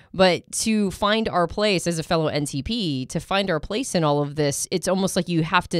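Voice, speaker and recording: A woman with a normal speaking voice talks at a moderate pace, her pitch fairly low and her pitch variation ordinary. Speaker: podcast co-host. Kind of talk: casual interview.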